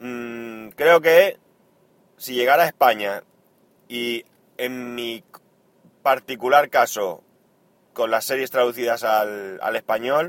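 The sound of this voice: Slow and marked by long, frequent pauses, a man's medium-pitched voice carries a fairly bright tone and ordinary pitch variation.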